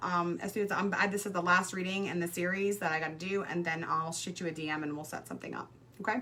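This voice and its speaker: Speaking at a very fast pace with hardly any pauses, a woman keeps a medium pitch and ordinary pitch variation against noticeable background noise. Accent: American. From Brooklyn, New York. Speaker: psychic tarot reader. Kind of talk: livestream card reading. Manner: casual, hesitant with many fillers.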